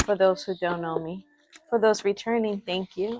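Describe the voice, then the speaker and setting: A woman with a non-native accent. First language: not English. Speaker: spiritual reader, channel owner. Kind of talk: spiritual reading / vlog address. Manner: halting, self-correcting; assertive.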